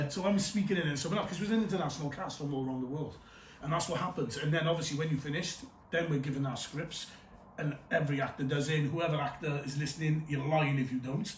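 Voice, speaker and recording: Speaking very fast in a Cardiff accent, a man with a fairly high pitch and ordinary pitch variation is heard amid room echo and noticeable background noise. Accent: Welsh, Cardiff. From Wales, Cardiff. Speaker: actor. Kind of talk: casual chat. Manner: animated.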